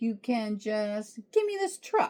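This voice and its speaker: A female-sounding voice performs a put-on character voice. The pitch is fairly high. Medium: read story.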